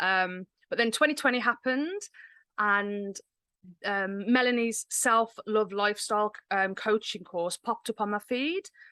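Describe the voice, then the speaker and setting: The tone is bright and sharp. The sound is dry and close, with no echo. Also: woman, fairly high pitch for a woman, ordinary pitch variation, fairly slow pace, quiet background. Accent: English Midlands. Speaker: menstrual cycle coach. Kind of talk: podcast interview.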